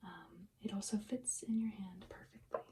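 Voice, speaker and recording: A soft-spoken whisper. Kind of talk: ASMR roleplay, perfume shop consultation. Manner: soft-spoken, whispery.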